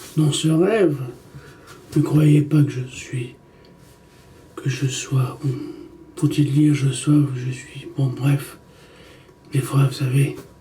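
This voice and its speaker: A man with a fairly high pitch speaks at a very slow pace with fairly even intonation. He leaves long, frequent pauses, and the room echo is audible. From Egypt, Italian mother. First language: Italian (speaking French). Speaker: documentary maker. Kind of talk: personal monologue to camera. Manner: halting, self-correcting.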